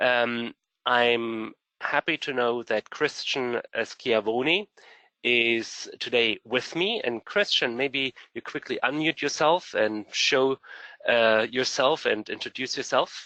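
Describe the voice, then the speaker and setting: Speaking at a very slow pace in a German accent, a man uses a medium pitch with ordinary pitch variation and a bright, sharp tone, recorded dry and close with no echo over a quiet background. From Germany. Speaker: program director. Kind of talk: webinar presentation.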